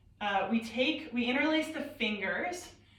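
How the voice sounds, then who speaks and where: Loud and high-pitched, a woman speaks at a very slow pace with lively intonation and audible room echo. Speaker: yoga teacher. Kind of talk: guided yoga class. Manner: slow breathing cues.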